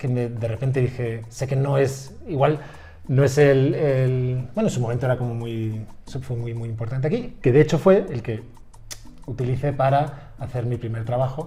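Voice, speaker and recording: A man with a Spanish accent at a medium pitch and moderate pace, fairly even in intonation, with music in the background and audible room echo. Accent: Spanish, from Spain. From Spain, Madrid. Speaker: university professor. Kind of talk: casual interview. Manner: halting.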